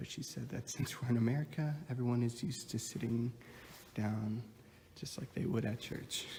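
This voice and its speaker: The voice is quiet and somewhat breathy, with a dark, mellow tone, ordinary pitch variation and a moderate pace. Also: man, medium pitch for a man. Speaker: counseling student. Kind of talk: casual vlog tour narration. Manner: hesitant.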